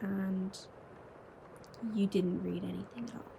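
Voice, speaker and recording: A woman whispers quietly against noticeable background noise. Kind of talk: ASMR whispered chat to camera. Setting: home bedroom at night with rain sounds. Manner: quiet, whispered.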